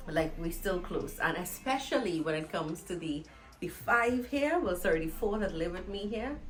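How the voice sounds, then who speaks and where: A woman with a Trinidadian accent speaks in an animated tone with lively intonation at a moderate pace and a medium pitch. Music plays in the background, and the room adds an audible echo. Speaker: vlogger. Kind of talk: casual vlog monologue. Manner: loud.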